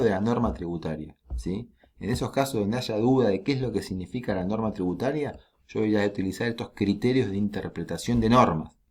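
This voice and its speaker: An ordinary speaking voice, fairly quick, with ordinary pitch variation. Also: man. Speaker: law lecturer. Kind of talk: lecture.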